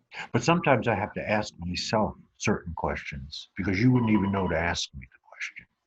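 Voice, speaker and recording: Talking at a fairly quick pace, a man with an American accent has a fairly low pitch and a somewhat breathy voice. His pitch swings very widely and his loudness swings a lot. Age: 70s. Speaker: author and business speaker. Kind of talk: motivational talk.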